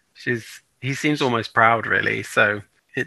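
The speaker is a man. He has a British accent. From UK. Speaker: podcast co-host. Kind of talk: casual chat.

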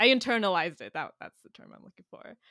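In an American accent, a bright, sharp voice with ordinary pitch variation comes through dry and close with no echo, in a very clean recording with a silent background. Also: woman. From San Jose, Bay Area, California. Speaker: software engineer and musician. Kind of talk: casual conversation. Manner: hesitant, many fillers, laughs often.

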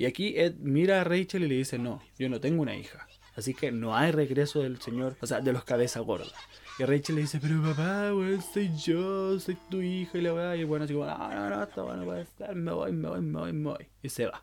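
A man with a Chilean accent speaks at a fairly quick pace and a fairly high pitch. His intonation is lively, with noticeable background noise. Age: 20s. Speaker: podcast host. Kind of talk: casual chat. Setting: home recording.

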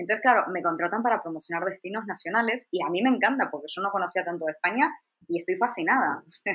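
A woman with a medium pitch talks at a very fast pace with lively intonation. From Argentina. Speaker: travel blogger and journalist. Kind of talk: interview.

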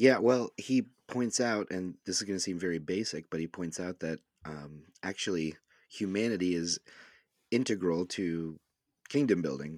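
Over a silent background in a very clean recording, a man with a very deep, low pitch speaks at a moderate pace with ordinary pitch variation. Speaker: pastor and podcast co-host. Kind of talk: casual discussion about discipleship.

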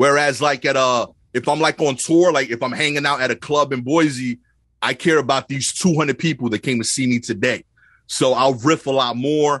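At a moderate pace, a man with a New York accent speaks with fairly high pitch and fairly even intonation, in a dry, close sound with no echo and a quiet background. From Brooklyn, New York (East New York). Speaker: stand-up comedian. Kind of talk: casual chat.

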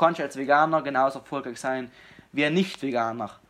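Speaking at a fairly quick pace, a man with a plain, everyday voice has a fairly high pitch and ordinary pitch variation. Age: 20s. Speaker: fitness enthusiast and aspiring comedian. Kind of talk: casual chat. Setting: video call.

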